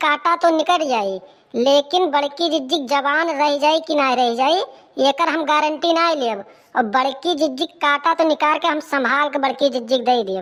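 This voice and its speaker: Putting on a cartoonish character voice, a woman speaks at high pitch with ordinary pitch variation. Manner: blunt, gruff.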